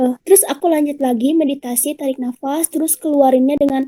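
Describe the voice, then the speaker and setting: Shrill yet dark and mellow in tone, the voice races along at a very fast pace in a dry, close sound with no echo. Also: woman. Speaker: public speaking speaker. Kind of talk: online talk and Q&A. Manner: casual, chatty.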